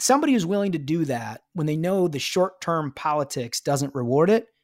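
On a very clean recording with a silent background, an ordinary speaking voice talks at a moderate pace with ordinary pitch variation. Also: man. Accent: American. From US Midwest, Minnesota. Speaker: political strategist, former Senate chief of staff. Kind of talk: interview.

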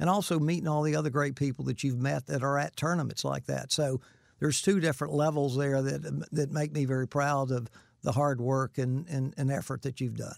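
A man with a Southern US accent talks at a fairly quick pace in a fairly high pitch. His intonation is fairly even, and the recording is very clean with a silent background. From Florida (Winter Haven). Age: 60s. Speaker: host's father, builder. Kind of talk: casual chat.

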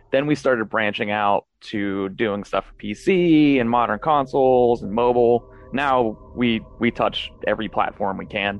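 Over music in the background, a man of medium pitch speaks fairly slowly, with ordinary pitch variation and big swings in loudness. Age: 30s. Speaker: indie retro game developer. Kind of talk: interview.

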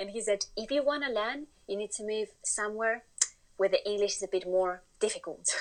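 A woman talks at a fairly quick pace with a Spanish accent, her pitch fairly high. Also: ordinary pitch variation. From Spain. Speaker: interview guest, Spanish woman living in UK. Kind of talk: casual interview chat.

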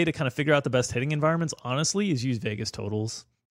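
In a very clean recording with a silent background, the speaker has an American accent. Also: man. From US South, South Florida. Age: middle-aged. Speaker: fantasy sports analyst. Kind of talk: casual chat. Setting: studio.

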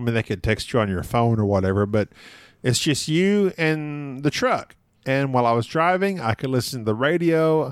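A man talks at a moderate pace and medium pitch in an ordinary speaking voice. His intonation is lively, and the recording is very clean with a silent background. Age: 40s. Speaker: board game podcaster. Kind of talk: casual interview.

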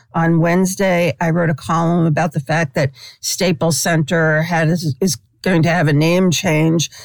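With an American accent and an ordinary speaking voice, a woman talks at a fairly slow pace and fairly low pitch with fairly even intonation, in a very clean recording with a silent background and a dry, close sound with no echo. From New York City, Brooklyn. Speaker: sports columnist. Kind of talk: interview.

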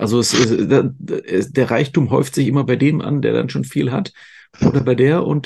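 His dark, mellow tone carries vocal fry as the man speaks at a moderate pace. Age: 50s. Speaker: podcast host. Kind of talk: casual interview.

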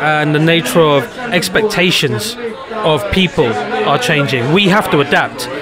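A man with a London accent and a fairly high pitch, amid audible room echo and noticeable background noise. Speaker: photographer. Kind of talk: casual chat.

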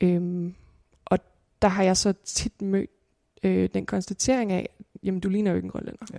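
A woman's dark, mellow voice comes through dry and close with no echo, flat and monotone, with long, frequent pauses. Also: medium pitch for a woman. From Greenland, Nuuk. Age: 20s. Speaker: filmmaker and student. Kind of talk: interview conversation.

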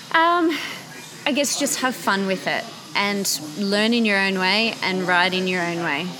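Speaking in an Australian accent at medium pitch, a woman moves at a fairly slow pace with lively intonation and long, frequent pauses, amid noticeable background noise and audible room echo. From Australia, Canberra. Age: young. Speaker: motorcycle brand marketing manager. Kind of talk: interview.

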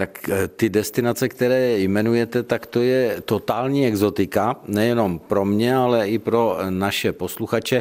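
In a plain, everyday voice, a man of medium pitch talks at a moderate pace with hardly any pauses, fairly even intonation, and very even loudness. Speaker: radio host. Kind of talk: radio interview. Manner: formal.

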